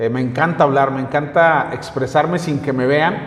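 Fairly high male voice at a fairly slow pace, ordinary pitch variation, and noticeable background noise. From northern Mexico (Comarca Lagunera). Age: 40s. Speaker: local news streamer and political commentator. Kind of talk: casual interview chat.

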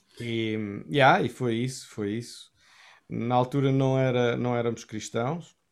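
In a very clean recording with a silent background, a man speaks at a very slow pace in a medium pitch. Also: fairly even intonation. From Portugal, Cascais area. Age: 40s. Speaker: worship pastor. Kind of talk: interview testimony. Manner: halting, many repetitions.

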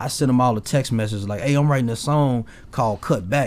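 At a fairly quick pace, a man with an American accent speaks at a medium pitch with ordinary pitch variation. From Memphis, Tennessee. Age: 30s. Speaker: rapper. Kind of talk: casual interview chat.

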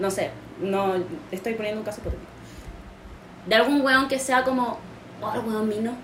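Noticeable background noise and audible room echo surround a woman with a fairly high pitch. She keeps a moderate pace, broken by long, frequent pauses. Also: ordinary pitch variation. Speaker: podcast host. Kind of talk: casual chat.

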